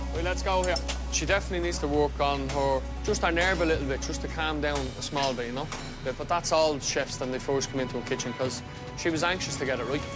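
A man talking at a very fast pace, with clear music in the background. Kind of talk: interview answer. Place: kitchen. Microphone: lapel.

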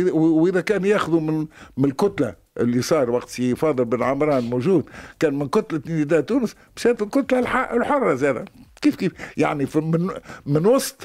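The background is quiet. A man speaks at a moderate pace with very wide pitch swings. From Tunisia. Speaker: politician. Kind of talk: interview. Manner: spontaneous, halting. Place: studio.

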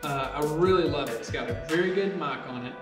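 A man speaks with ordinary pitch variation while clear music plays in the background. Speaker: vlogger reviewing a camera. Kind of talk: casual vlog chat. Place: garage. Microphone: camera far.

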